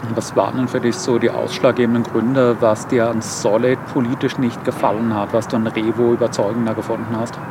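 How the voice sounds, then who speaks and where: Noticeable background noise runs under a man at medium pitch. He speaks at a fairly quick pace in a monotone, flat intonation, with hardly any pauses. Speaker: political video creator. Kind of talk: interview.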